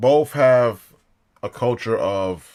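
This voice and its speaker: The speaker here is a man. His pitch moves with ordinary variation. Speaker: commentary vlogger. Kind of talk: casual monologue commentary. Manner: casual, halting.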